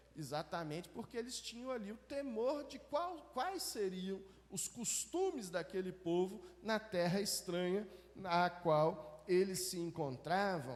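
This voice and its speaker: At a very slow pace, a man speaks in a high pitch with lively intonation. Audible room echo and noticeable background noise fill the recording. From Belo Horizonte, Minas Gerais, Brazil. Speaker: pastor. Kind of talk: sermon. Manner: conversational, with false starts.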